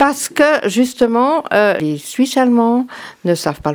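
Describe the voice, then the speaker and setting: Her pitch swings very widely. The woman keeps to a fairly slow pace. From France. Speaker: former cantonal politician. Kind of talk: radio talk show discussion. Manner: halting.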